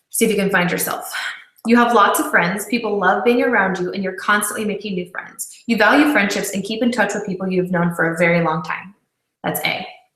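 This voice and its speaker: There is audible room echo as a woman talks at a fairly quick pace with ordinary pitch variation. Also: medium pitch for a woman. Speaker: video chat host. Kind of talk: live personality quiz presentation. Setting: live video hangout broadcast. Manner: fast.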